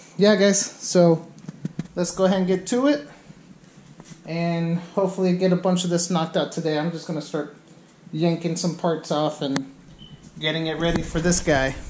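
The speaker goes at a moderate pace with long, frequent pauses and ordinary pitch variation, with light background noise and audible room echo. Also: man, high pitch for a man. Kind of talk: casual vlog chat. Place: garage. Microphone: phone near.

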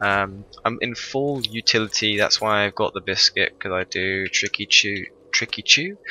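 This man talks quietly at a moderate pace, his fairly low pitch and bright, sharp tone carried on fairly even intonation, with a dry sound and no echo. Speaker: gaming YouTuber. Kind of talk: gameplay commentary. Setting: home recording, thin-walled room. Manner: quiet, low-volume; hesitant, many fillers. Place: home room.

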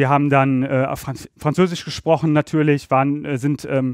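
Dry, close sound with no echo frames a man's voice. He speaks at a fairly high pitch in a monotone, with flat intonation. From Rhineland, Germany (Ratingen near Düsseldorf). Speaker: energy law expert. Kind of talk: interview. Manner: hesitant, many filler sounds.

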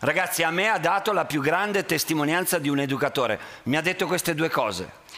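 Very fast delivery at a very even loudness, with ordinary pitch variation. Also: man, high pitch for a man. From Italy. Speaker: teacher; conference speaker, school teacher. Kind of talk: talk to students via interpreter. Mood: earnest, warm. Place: hall. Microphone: headset.

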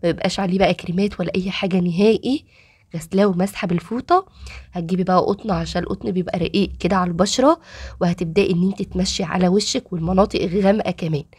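A woman with an Egyptian accent speaks in an animated tone, her medium-pitched voice somewhat breathy. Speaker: cooking and beauty tips youtuber. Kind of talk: tutorial.

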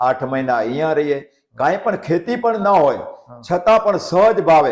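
A man talks in a plain, everyday voice at a fairly high pitch with ordinary pitch variation. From Siyot village, Kutch, Gujarat. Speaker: village elder, sawmill owner. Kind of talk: interview.

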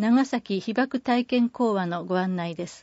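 At a very slow pace, a woman speaks at a fairly high pitch with ordinary pitch variation. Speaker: newsletter narrator. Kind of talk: reading aloud. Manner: formal.

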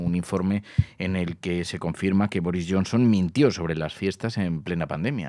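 A very deep, low male voice with a dark, mellow tone, ordinary pitch variation and a dry sound with no echo. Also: quiet background. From Spain. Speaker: radio host. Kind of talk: casual chat. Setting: studio. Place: studio. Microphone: studio mic.

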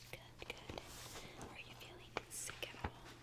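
Whispering, a woman speaks at a very slow pace. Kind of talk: role-play medical exam talk. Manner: soft, calm ASMR talk. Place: home room.

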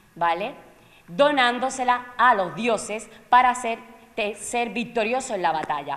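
A woman's voice moves at a fairly slow pace through very wide pitch swings. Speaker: theatre presenter or actor. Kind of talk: pre-show talk to an audience explaining a classical tragedy. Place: stage.

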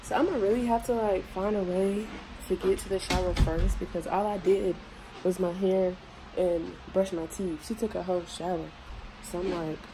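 Over noticeable background noise, a woman talks at a moderate pace with fairly even intonation and long, frequent pauses. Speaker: beauty vlogger. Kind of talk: casual vlog chat. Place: bathroom. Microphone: phone near.

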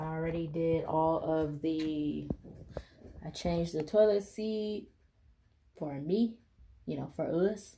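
Somewhat breathy, with a dark, mellow tone, a woman speaks over light background noise. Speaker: home DIY vlogger. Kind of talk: casual vlog chat. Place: bathroom. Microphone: phone near.

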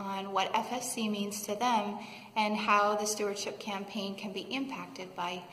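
Audible room echo hangs on the woman's voice as she talks. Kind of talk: announcement to congregation. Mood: warm, calm. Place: church. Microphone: phone near.

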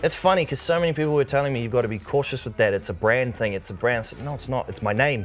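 With hardly any pauses, a man talks at a very fast pace. His intonation is lively, and light background noise is present. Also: medium pitch for a man. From New Zealand. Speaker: singer-songwriter and producer. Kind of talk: casual interview chat. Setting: TV studio. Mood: relaxed, cheerful storytelling. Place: studio. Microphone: lapel.

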